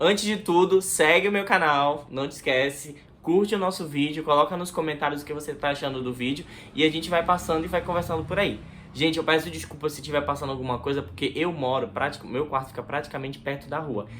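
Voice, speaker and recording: Over noticeable background noise, a man speaks at a very fast pace. His pitch is fairly high, with ordinary variation. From Brazil, Manaus (Amazonas). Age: 20s. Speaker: YouTuber. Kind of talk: casual vlog talk to camera. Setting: bedroom near the street.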